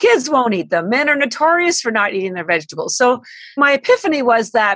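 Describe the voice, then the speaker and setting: A woman talks at a fairly quick pace with very wide pitch swings, in a dry, close sound with no echo. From Canada. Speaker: company founder and CEO. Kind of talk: interview. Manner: animated.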